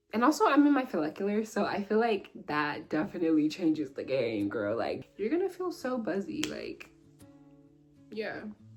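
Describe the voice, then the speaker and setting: With music playing in the background, a woman speaks at a moderate pace. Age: 20s. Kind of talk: casual talk to camera.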